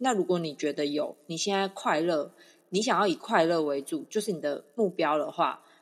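A woman speaks at a moderate pace in an unremarkable speaking voice, fairly low in pitch. Her intonation is lively, over a quiet background. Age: 30s. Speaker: podcast co-host. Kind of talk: casual chat.

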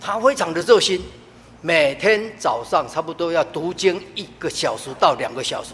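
A man's high-pitched voice at a moderate pace, with lively intonation and big swings in loudness. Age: 70s. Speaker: church deacon. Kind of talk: testimony.

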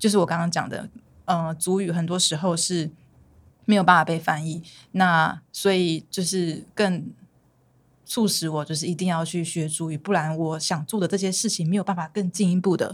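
A woman talks at a moderate pace and a fairly low pitch, in a flat monotone. The recording is very clean, the background silent. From Taiwan, Miaoli, Saisiyat village. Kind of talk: casual chat.

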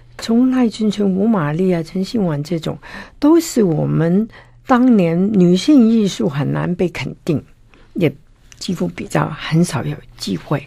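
A woman speaks at a fairly slow pace with a fairly low pitch. Her intonation is lively, and her tone is dark and mellow. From Hong Kong. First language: Cantonese (speaking Chinese). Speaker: art collector and author. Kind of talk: interview.

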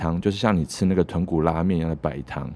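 The voice belongs to a man. It carries a dark, mellow tone. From Taiwan, Keelung. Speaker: podcast host. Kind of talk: casual solo podcast talk.

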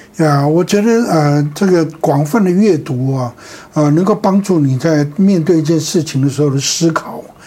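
A man with a fairly high pitch and ordinary pitch variation, at a moderate pace and very even loudness, over noticeable background noise. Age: 70s. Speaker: pastor. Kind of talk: interview. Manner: halting.

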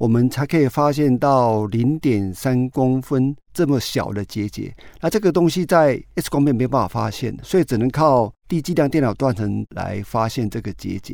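A man's normal speaking voice, medium in pitch, with lively intonation at a moderate pace, in a very clean recording over a silent background. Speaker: lung cancer physician. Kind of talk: interview.

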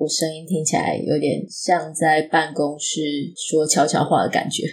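A woman speaks at a very deep, low pitch. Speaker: podcast host and fiction writer. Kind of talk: casual solo talk on writing.

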